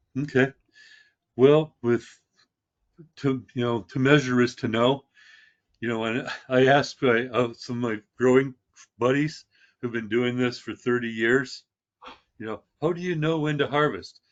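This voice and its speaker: At a fairly slow pace and medium pitch, a man speaks with fairly even intonation and long, frequent pauses. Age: 60s. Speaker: experienced cannabis grower. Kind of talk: podcast interview. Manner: halting, many fillers and restarts.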